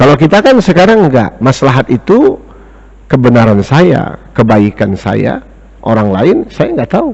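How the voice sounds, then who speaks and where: Very wide pitch swings with very even loudness. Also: man, medium pitch for a man. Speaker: Islamic teacher and economics lecturer. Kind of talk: religious lecture. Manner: slow, deliberate; lowered volume.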